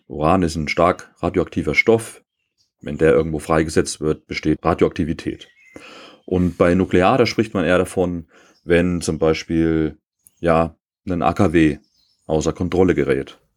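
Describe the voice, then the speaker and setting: A man speaks at a fairly slow pace with a very deep, low pitch. His intonation is fairly even, broken by long, frequent pauses. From East Germany. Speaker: podcast co-host on survival and bushcraft. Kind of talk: casual chat.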